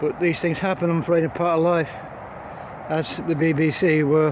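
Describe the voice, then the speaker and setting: Monotone, flat delivery at a moderate pace in an English accent, with noticeable background noise. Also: man. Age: 70s. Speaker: vlogger. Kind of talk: casual vlog monologue. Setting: outdoors, walking a dog in woods. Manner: halting.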